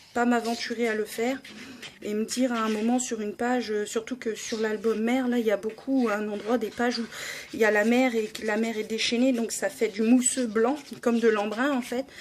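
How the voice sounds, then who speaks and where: Over noticeable background noise, a woman with a fairly high pitch speaks at a moderate pace in a monotone, flat intonation, leaving long, frequent pauses. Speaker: scrapbooking YouTuber. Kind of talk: crafting tutorial. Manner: hesitant, many fillers.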